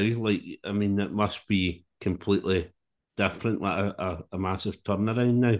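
At a moderate pace, a man with a Scottish accent speaks at a fairly low pitch with fairly even intonation. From Scotland. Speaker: podcast host. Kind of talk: interview chat.

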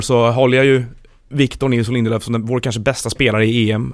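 A very fast pace with fairly even intonation. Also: man. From Sweden, Stockholm. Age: 20s. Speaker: football journalist. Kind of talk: casual chat.

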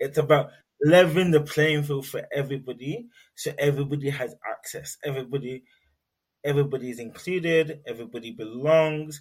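The speaker talks at a fairly quick pace in a London accent, sounding somewhat breathy. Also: man, big swings in loudness. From London, England (Nigerian heritage). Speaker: research assistant and neurodiversity advocate. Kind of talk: interview.

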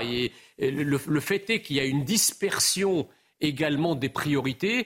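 A man's plain, everyday voice, fairly high in pitch, with lively intonation and a fairly slow pace. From immigrated to France as a child, not a native French speaker. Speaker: political commentator, association president. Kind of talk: televised debate.

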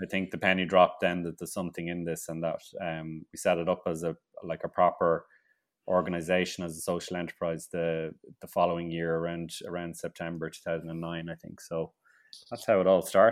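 In a very clean recording with a silent background, a man with an Irish accent speaks at a fairly quick pace. His very deep, low pitch has monotone, flat intonation, and his loudness swings widely. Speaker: grower, author and TV presenter. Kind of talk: casual interview. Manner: halting, repeats words.

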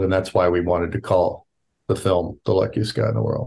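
With an American accent and vocal fry, a man talks at a very deep, low pitch with ordinary pitch variation. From Virginia, US. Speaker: documentary film director. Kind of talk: interview answers. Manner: halting, thoughtful, filler words.

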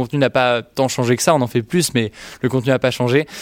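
On a very clean recording with a silent background, a man talks at a fairly quick pace with medium pitch. He has a normal speaking voice and fairly even intonation. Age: 20s. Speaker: youtuber. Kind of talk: interview.

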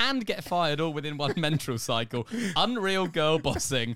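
A man speaks with an English accent at a fairly high pitch. The recording is very clean, with a silent background. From England. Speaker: podcast co-host. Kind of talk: casual chat. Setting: small hot room in a flat, under the stairs.

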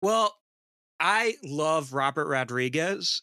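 With a Midwestern accent, a man speaks very slowly in a fairly high pitch and a bright, sharp tone, the sound dry and close with no echo. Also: very clean recording, silent background. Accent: American Midwest. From Detroit, US. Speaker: horror filmmaker and podcast host. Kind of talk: casual chat.

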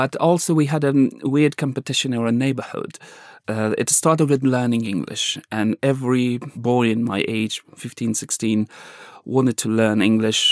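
On a very clean recording with a silent background, a man with an Afghan accent talks at medium pitch and a moderate pace with ordinary pitch variation. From Afghanistan. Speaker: journalist. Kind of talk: interview conversation, storytelling. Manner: halting, searching for words.

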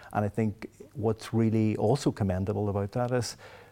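A man's dark, mellow tone at a fairly low pitch. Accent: Derry. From Northern Ireland, Derry. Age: 50s. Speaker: law professor. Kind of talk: interview. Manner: halting, frequent repetitions.

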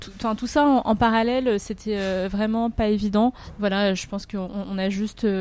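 Speaking at a fairly slow pace, a woman with a fairly high pitch keeps her intonation fairly even while her loudness swings a lot. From France, Paris (Chinese family). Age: 30s. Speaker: restaurateur. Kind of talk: interview. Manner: halting, many fillers and repetitions.

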